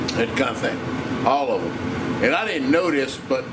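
Loud noise fills the background while a man talks. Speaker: home cook vlogger. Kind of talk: casual vlog chat. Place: kitchen. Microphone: phone near.

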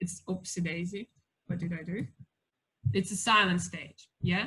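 Against a quiet background, a woman with a Russian accent talks at a moderate pace in a bright, sharp tone with ordinary pitch variation. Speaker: family daycare educator giving talk to parents. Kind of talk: lecture. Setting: video call. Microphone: video call.

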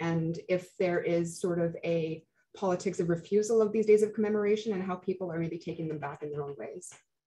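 A woman's somewhat breathy voice, dark and mellow in tone, with a Canadian accent. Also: fairly low pitch for a woman, ordinary pitch variation, fairly quick pace. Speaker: moderator and master's student. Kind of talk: panel moderation. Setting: video call.

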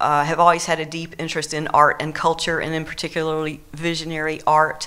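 The woman's voice sits fairly low in pitch and has a bright, sharp tone. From US South. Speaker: art and anthropology teacher. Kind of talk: panel discussion. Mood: reminiscing, relaxed. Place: hall. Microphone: handheld.

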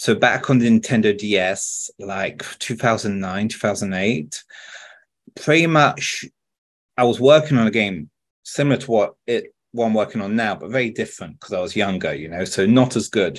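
In a British accent, a man speaks at a moderate pace with lively intonation. The background is quiet. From France. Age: 30s. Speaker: video game director. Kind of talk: interview answer. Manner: casual, chatty. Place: home room. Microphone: earbuds.

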